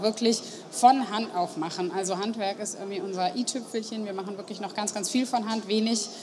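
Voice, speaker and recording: A woman talks at a fairly quick pace with ordinary pitch variation. Noticeable background noise is present. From Germany, Marburg (Hesse). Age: 30s. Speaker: pastry shop owner. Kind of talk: interview. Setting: stage at a trade fair.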